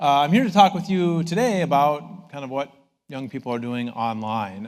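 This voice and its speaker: This man has an Upper Midwest accent and a fairly high pitch. His pitch swings very widely. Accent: Upper Midwest American. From northern Minnesota. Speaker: professor. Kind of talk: public talk.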